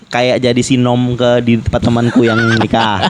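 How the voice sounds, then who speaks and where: A man with a plain, everyday voice talks at medium pitch and a fairly quick pace. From Jambi, Sumatra. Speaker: podcast host. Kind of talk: casual chat.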